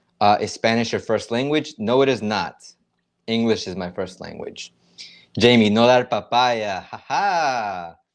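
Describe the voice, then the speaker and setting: In a quiet background, a man with an American accent uses an ordinary speaking voice at a medium pitch and a fairly slow pace, his pitch varying ordinarily while his loudness swings widely. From United States. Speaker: YouTuber. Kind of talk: livestream chat reading comments. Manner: casual, conversational.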